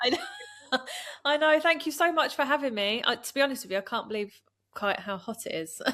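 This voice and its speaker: Loud and projected, a woman with a Yorkshire accent talks at a fairly quick pace in a high, bright, sharp voice whose pitch swings very widely. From West Yorkshire, near Leeds. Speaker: podcast guest. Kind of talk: casual chat.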